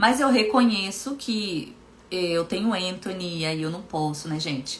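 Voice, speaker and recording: Amid noticeable background noise and audible room echo, a woman with a medium-pitched voice speaks at a fairly slow pace in an animated tone with lively intonation. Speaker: hypnotherapist and coach. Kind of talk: live stream talk. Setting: Instagram live stream.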